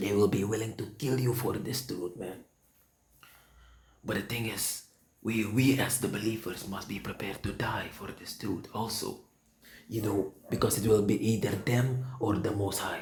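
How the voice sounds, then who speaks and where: A man speaks in a somewhat breathy voice. His pitch is fairly low. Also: fairly even intonation, moderate pace. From Suriname. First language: Sranan Tongo or Dutch. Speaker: preacher. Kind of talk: sermon. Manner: halting.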